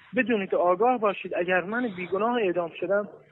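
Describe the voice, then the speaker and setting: Talking at a fairly quick pace, a man with a high voice uses ordinary pitch variation over noticeable background noise. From Iran. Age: 20s. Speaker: wrestling champion, imprisoned protester. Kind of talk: recorded appeal message. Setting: prison recording.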